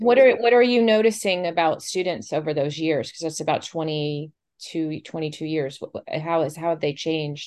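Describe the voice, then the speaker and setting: In an ordinary speaking voice with an American accent, a woman talks at a moderate pace and fairly low pitch, with lively intonation and big swings in loudness. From Florida, St. Petersburg. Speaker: podcast host, literary arts director. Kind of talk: scripted intro; casual interview.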